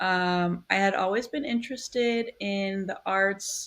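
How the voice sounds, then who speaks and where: A woman at a medium pitch with an American accent, at a very slow pace. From US Midwest, Milwaukee, Wisconsin. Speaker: newspaper design editor. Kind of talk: interview.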